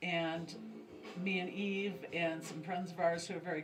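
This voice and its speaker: Over music in the background, a woman speaks at a fairly low pitch with audible room echo. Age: 60s. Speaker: pagan high priestess. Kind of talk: interview. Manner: halting.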